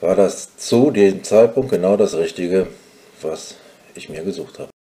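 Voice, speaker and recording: A man at a very slow pace. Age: 50s. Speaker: nurse manager and graduate. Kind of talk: interview.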